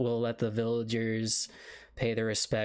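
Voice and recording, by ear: Someone is reading aloud in a natural voice. The text is read throughout.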